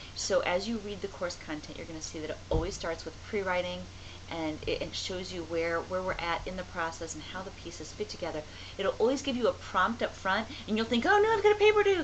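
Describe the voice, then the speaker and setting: A fairly quick pace amid audible room echo and noticeable background noise. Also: woman. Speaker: college writing instructor. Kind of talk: online course video lecture. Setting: home office, on camera. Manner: fast; casual, conversational.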